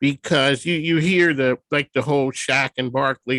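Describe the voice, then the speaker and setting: With a normal speaking voice, a man talks at a moderate pace in a fairly high pitch with ordinary pitch variation, the sound dry and close with no echo. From Philadelphia. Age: 60s. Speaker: radio host. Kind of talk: interview.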